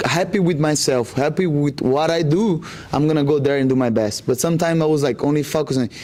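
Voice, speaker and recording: Against noticeable background noise, a man with a Brazilian accent talks at a fairly quick pace in a fairly high pitch with ordinary pitch variation. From Brazil, Rondônia. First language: Portuguese. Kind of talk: interview. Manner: halting, many fillers.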